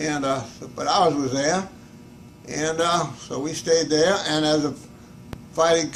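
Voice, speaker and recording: A man with a fairly high pitch and ordinary pitch variation talks at a moderate pace, and noticeable background noise runs behind him. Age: 80s+. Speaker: hat shop owner, war veteran. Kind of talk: interview answer.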